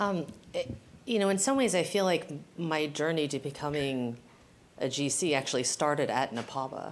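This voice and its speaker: At a moderate pace, a woman with an American accent speaks in a very deep, low pitch, with ordinary pitch variation and very even loudness. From US West Coast, San Francisco. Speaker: general counsel. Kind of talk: live panel discussion. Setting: stage with audience.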